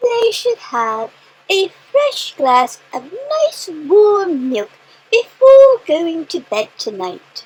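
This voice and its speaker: A woman uses a put-on character voice at an extremely high pitch. She talks at a very slow pace with very wide pitch swings. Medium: read story. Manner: warm, sympathetic.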